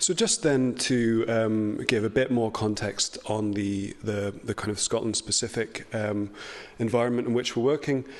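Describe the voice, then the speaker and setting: A man talks in a medium pitch at a moderate pace. His intonation stays fairly even. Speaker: heritage organisation speaker. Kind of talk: conference presentation. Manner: hesitant, many fillers.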